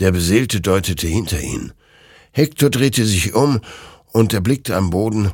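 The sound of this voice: An unforced reading voice carries the whole clip.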